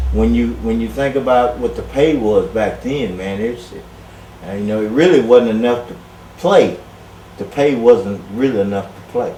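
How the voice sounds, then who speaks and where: With audible room echo and noticeable background noise, a man speaks at a fairly slow pace and with big swings in loudness. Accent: Texan. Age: 60s. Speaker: former college football player. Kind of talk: casual interview.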